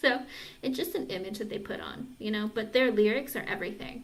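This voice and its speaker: A woman speaks with vocal fry at a fairly high pitch. Audible room echo surrounds her voice. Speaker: tarot reader. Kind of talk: live-stream tarot reading and casual chat. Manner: casual, chatty.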